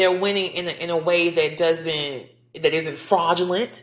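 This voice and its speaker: A woman speaks in an animated tone. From US South. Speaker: podcast host. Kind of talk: casual podcast monologue.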